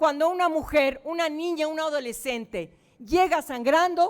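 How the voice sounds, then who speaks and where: An animated tone carries ordinary pitch variation. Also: woman. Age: 60s. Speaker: senator. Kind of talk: press conference. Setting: press conference room.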